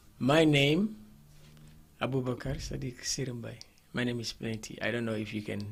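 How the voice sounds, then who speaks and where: A somewhat breathy man's voice, with long, frequent pauses. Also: medium pitch for a man, ordinary pitch variation, moderate pace. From Ghana. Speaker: MC and DJ. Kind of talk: radio interview. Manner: halting.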